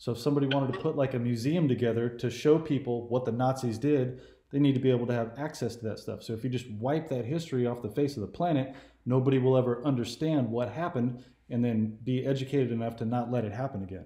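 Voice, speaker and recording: Speaking at a very fast pace, a man with an American accent has a somewhat breathy, dark, mellow tone and fairly even intonation, with audible room echo over a quiet background. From California. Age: 40s. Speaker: YouTube political commentator; interview guest or host. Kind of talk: casual chat. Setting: phone call. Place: home room. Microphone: webcam.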